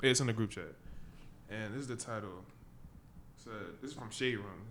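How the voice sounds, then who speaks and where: A man's medium-pitched voice at a very fast pace, with audible room echo. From Caribbean. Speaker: podcast co-host. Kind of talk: casual chat.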